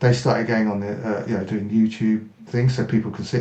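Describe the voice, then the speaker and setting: Speaking at a fairly quick pace, a man with an English accent uses a medium pitch. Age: 60s. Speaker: martial artist, army veteran. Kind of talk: interview.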